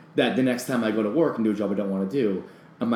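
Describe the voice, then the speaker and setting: With an American accent and a fairly low pitch, a man speaks with ordinary pitch variation amid audible room echo and noticeable background noise. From US, rural Pennsylvania. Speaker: actor and bartender. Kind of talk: casual chat.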